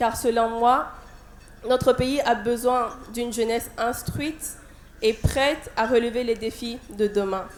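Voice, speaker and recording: At a very slow pace with long, frequent pauses, a woman speaks with a Burkinabe accent, her fairly high pitch carried by fairly even intonation. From Burkina Faso. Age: 20s. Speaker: beauty pageant contestant. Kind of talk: prepared speech. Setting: stage with audience. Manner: halting.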